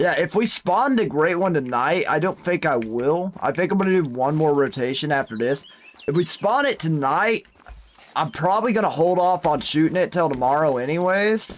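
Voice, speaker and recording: Lively intonation and an animated tone come through at a moderate pace. Noticeable background noise sits behind a very even loudness. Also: man, high pitch for a man. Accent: American. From Oklahoma. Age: 20s. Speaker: gaming streamer. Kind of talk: live game stream chat.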